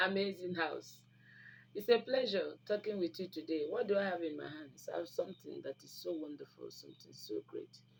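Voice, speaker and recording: A fairly quick delivery in a Nigerian accent. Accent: Nigerian English (Igbo). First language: Igbo. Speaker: YouTube channel host. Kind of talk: informal health talk to camera. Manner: animated, with frequent mm fillers.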